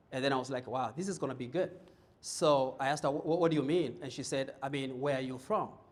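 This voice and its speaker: A man speaks very fast in a fairly high voice with ordinary pitch variation, and the room echo is audible. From Kenya. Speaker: motivational speaker. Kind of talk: keynote speech. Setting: stage with audience. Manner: animated.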